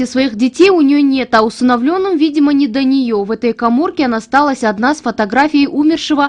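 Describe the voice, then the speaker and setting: Someone talks at a very fast pace with ordinary pitch variation. Noticeable background noise runs underneath. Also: woman. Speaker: TV news reporter. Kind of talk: TV news report narration.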